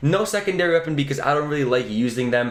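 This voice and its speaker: Speaking very fast, a man uses lively intonation. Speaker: gaming youtuber. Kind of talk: gameplay tutorial. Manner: animated.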